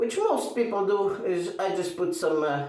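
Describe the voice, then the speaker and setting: Fairly slow male speech carrying audible room echo. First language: not English. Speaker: shaving video creator. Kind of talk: tutorial. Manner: halting.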